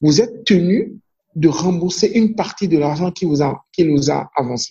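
A man speaks with a Beninese accent and a high pitch. His intonation is lively, and his pace is fairly slow. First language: Fon (speaking French). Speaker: banker. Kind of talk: interview. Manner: halting with frequent repetitions.

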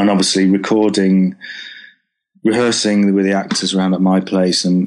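Against a quiet background, a man with a Lancashire accent talks at a moderate pace in a fairly low pitch, his intonation monotone and flat. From northern England, Preston. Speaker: TV, film and theatre composer. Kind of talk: interview. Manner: halting.

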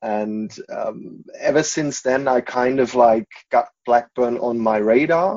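The speaker talks at a very slow pace. The voice carries a German accent. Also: man, medium pitch for a man, ordinary pitch variation. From Germany, Munich area. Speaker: football fan. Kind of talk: casual interview.

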